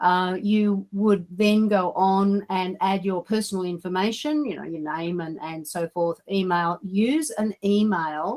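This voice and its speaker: A woman with an Australian accent speaks at medium pitch and a fairly slow pace, with hardly any pauses. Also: ordinary pitch variation. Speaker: digital mentor and coach. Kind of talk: online training session. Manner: halting.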